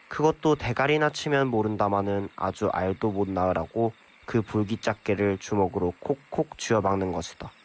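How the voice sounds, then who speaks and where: With an ordinary speaking voice, a man speaks at a moderate pace and fairly low pitch with lively intonation, the sound dry and close with no echo. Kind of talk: audiobook reading.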